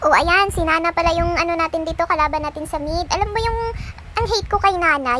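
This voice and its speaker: A woman speaks with an extremely high pitch in a raised, projected voice. Noticeable background noise runs underneath. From Visayas, Philippines. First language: Bisaya (Cebuano) (speaking Tagalog). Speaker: gaming YouTuber. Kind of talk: casual vlog talk; gameplay commentary. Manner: chatty, laughing.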